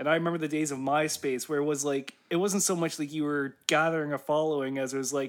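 Recorded very cleanly against a silent background, a man with an unremarkable speaking voice talks at a fairly high pitch and a fairly quick pace with fairly even intonation. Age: 20s. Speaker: musician and podcast co-host. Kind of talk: casual chat.

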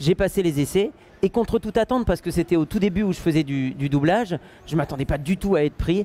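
A dark, mellow tone delivers the words at a fairly quick pace. Pitch variation stays ordinary. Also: man. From northern France. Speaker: voice actor. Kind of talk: interview at a convention. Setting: convention hall, in person.

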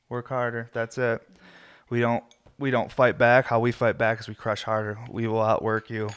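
There is a quiet background behind this man's speech. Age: 30s. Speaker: podcast host and glass shop owner. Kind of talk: casual chat. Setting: home video podcast. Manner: talkative, rambling.

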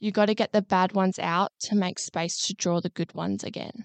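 There is a quiet background. Over it, a woman talks with an Australian accent. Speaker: podcast co-host, psychology graduate. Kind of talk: casual chat.

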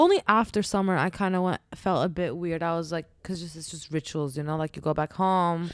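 A woman with an unremarkable speaking voice, fairly low in pitch and fairly quick, with fairly even intonation, big swings in loudness and hardly any pauses, on a very clean recording with a silent background. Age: 20s. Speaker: podcast co-host. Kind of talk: casual chat.

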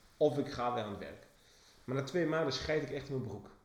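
Over audible room echo, a man with a fairly high pitch and ordinary pitch variation talks at a fairly quick pace. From England, then Enschede. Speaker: branding agency owner, podcast co-host. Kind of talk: casual chat. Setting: office. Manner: talkative. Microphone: cheap microphone.

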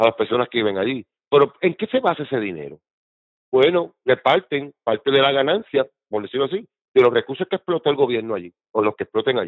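This man talks at a very fast pace with a medium pitch. His pitch swings very widely. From Puerto Rico. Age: 50s. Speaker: political activist. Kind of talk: casual interview.

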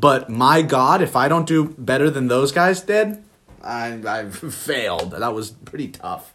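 Lively intonation carries this man's fairly high-pitched voice as he talks at a fairly slow pace. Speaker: podcast co-host. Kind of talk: casual chat.

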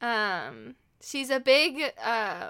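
A woman's bright, sharp voice with vocal fry. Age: 20s. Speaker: podcast co-host in eating disorder recovery. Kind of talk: casual chat.

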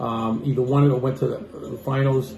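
Music plays in the background as a man with a medium pitch speaks in fairly even intonation, with audible room echo. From Boston. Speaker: sports podcast host, former coach. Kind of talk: casual chat.

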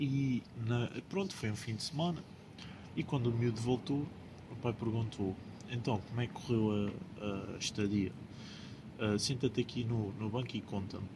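A man speaks at a medium pitch and a moderate pace, in a dark, mellow tone that is somewhat breathy. His pitch varies in an ordinary way, and he leaves long, frequent pauses. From Portugal, Lisbon. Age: 20s. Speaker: podcast co-host. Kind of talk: casual chat.

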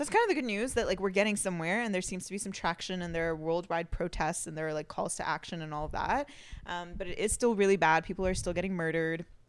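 Her pace is very fast, with hardly any pauses. This woman speaks at a medium pitch. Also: ordinary pitch variation. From Iran, left at age five. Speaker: podcast co-host. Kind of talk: casual chat.

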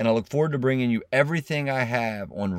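A man's plain, everyday voice, lively in intonation and fairly quick in pace, on a very clean recording with a silent background. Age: 40s. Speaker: podcast host. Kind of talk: motivational monologue.

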